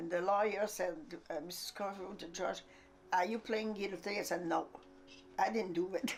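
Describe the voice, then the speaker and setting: A woman with a French accent talks at a moderate pace with long, frequent pauses. Her medium pitch follows fairly even intonation. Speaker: interviewee recalling family life. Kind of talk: documentary interview. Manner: halting.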